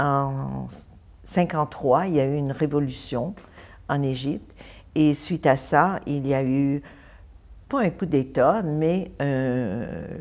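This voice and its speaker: A woman's very deep, low voice at a very slow pace, with ordinary pitch variation, in a very clean recording against a silent background. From Egypt (Ismailia). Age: 70s. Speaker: church member sharing life story. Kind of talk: interview.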